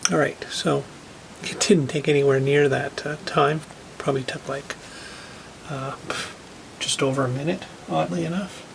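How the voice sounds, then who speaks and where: Soft-spoken and at a moderate pace, the voice has lively intonation and long, frequent pauses over noticeable background noise. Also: man, fairly high pitch for a man. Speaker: tech hobbyist video creator. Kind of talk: casual tutorial walkthrough. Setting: laundry room at home. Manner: soft-spoken, speaking quietly.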